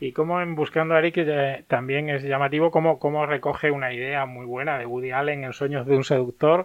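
With hardly any pauses, a man talks in a normal speaking voice at a fairly high pitch, his intonation fairly even and his loudness swinging widely. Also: fairly quick pace. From Andalusia, Spain (Martos, Jaén). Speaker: film critic. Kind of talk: casual chat.

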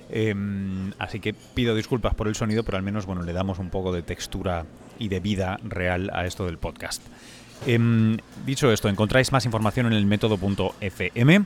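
The speaker is a man with an unremarkable speaking voice and a fairly low pitch. He talks at a moderate pace with fairly even intonation. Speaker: podcast host and science journalist. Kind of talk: casual interview. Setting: hotel lobby before a flight.

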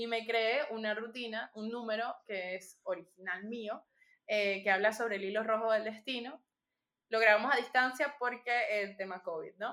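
A woman's fairly high, bright and sharp voice in a Venezuelan accent, at a moderate pace with fairly even intonation. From Venezuela (Punto Fijo, Falcón). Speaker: magician. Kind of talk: interview.

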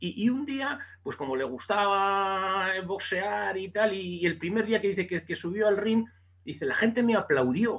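Lively intonation carries speech that moves fairly slowly. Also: man, high pitch for a man. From Basque Country, Spain (Bilbao). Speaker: boxing journalist. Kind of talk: casual interview.

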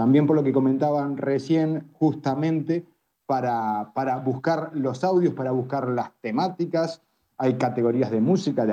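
A man's fairly high-pitched voice with ordinary pitch variation. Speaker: family doctor and social network founder. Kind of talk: live audio room discussion.

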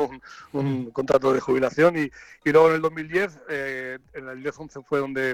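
The sound is dry and close with no echo as a man speaks at a fairly high pitch. His loudness swings widely, while his pace is fairly slow and his intonation fairly even. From Catalonia. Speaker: football coach. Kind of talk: interview. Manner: halting.

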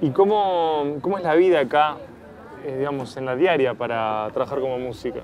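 A man with a Rioplatense accent and a fairly high pitch, at a moderate pace with lively intonation, over noticeable background noise. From Uruguay, Montevideo. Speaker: podcast host, interviewer. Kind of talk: interview.

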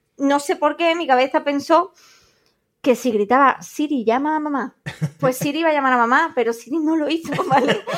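A woman with a high pitch and ordinary pitch variation talks at a fairly quick pace, recorded very cleanly against a silent background. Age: 30s. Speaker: podcast co-host. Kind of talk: casual chat. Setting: studio.

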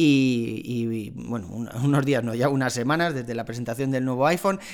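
At a moderate pace, a man talks in a medium pitch with ordinary pitch variation.

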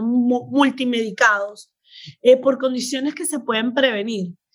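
In a very clean recording with a silent background, a woman talks at a moderate pace, her high-pitched voice carrying lively intonation. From Venezuela. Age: 50s. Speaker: doctor and health coach. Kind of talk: interview.

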